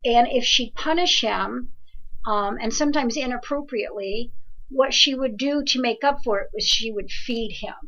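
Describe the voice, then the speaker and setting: A high-pitched woman with an American accent, in audible room echo. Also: ordinary pitch variation. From New Jersey. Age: 60s. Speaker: evidential medium. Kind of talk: live call-in reading and advice show. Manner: fast; animated.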